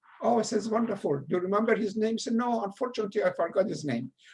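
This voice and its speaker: A man with a strong Persian accent talks at a very fast pace in a high-pitched voice with ordinary pitch variation. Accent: heavy Persian. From Iran. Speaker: retired educator. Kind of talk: lecture. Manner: halting.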